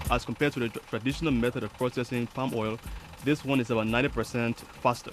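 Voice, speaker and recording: Music plays in the background as the speech runs at a very fast pace with fairly even intonation. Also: man, medium pitch for a man. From Liberia. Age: 20s. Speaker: entrepreneur. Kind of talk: guided tour. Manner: halting.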